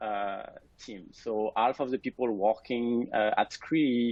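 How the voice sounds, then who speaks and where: Fairly even intonation marks a man's medium-pitched voice with a French accent. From France. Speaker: scientist, lab director. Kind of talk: webinar presentation. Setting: alone in his office.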